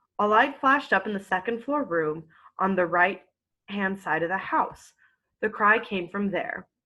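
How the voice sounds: Lively intonation in a natural reading voice, the background quiet.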